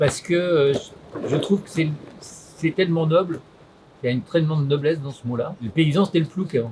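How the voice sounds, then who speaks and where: Over noticeable background noise, a man with a fairly high pitch and ordinary pitch variation talks at a fairly quick pace, broken by long, frequent pauses. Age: 70s. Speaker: farmer. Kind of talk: interview. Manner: hesitant, many fillers.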